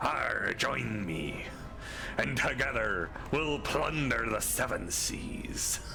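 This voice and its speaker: Through loud background noise, a man puts on a strained character voice, very deep and low in pitch, delivered at a very slow pace. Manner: swashbuckling, gruff.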